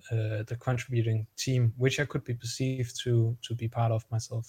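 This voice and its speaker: A man with a Danish accent speaks at a medium pitch in a monotone, flat way. His voice is somewhat breathy, with a dark, mellow tone. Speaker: guest, blockchain community member. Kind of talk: interview, explanatory conversation. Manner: hesitant, filler words.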